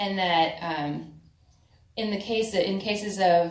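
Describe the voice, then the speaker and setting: A woman with an American accent speaks at a fairly slow pace with ordinary pitch variation, with audible room echo and noticeable background noise around her. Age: 20s. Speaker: activist speaker. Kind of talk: public speech at a forum.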